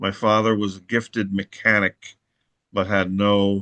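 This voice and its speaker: Speaking fairly slowly, a man uses a fairly low, monotone, flat intonation. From US Northeast, Long Island New York. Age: 60s. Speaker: anarchist activist. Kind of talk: oral history interview. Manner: halting, with fillers and restarts.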